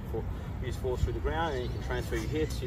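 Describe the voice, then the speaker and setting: A man speaks at a very fast pace. Loud background noise surrounds the dry sound, which has no echo. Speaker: tennis coach. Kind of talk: coaching explanation. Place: open country.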